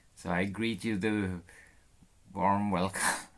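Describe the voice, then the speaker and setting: A man talks with a Swedish accent. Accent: Swedish accent, noticeable. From Sweden. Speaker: live streamer renovating a boat. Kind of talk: casual live stream chat. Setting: on a boat, live stream. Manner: laid-back.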